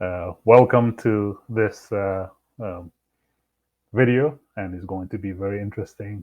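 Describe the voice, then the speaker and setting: A man speaks very slowly in an Arabic accent. His pitch is fairly low, with ordinary variation. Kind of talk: religious commentary video. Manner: halting, many fillers.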